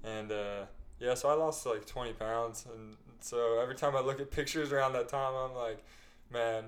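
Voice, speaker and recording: This man has an unremarkable speaking voice, medium in pitch, with an American accent. He talks at a moderate pace with fairly even intonation. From Utah. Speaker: startup employee and podcast co-host. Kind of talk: casual chat.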